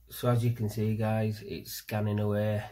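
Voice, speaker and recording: Speaking in a flat monotone, a man keeps a fairly low pitch. His pace is moderate. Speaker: hobbyist reviewer. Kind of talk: casual product review. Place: home room. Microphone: phone near.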